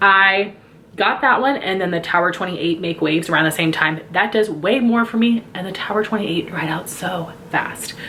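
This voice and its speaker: A woman with a medium pitch and ordinary pitch variation speaks over noticeable background noise. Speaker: beauty YouTuber. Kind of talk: product review. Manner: fast.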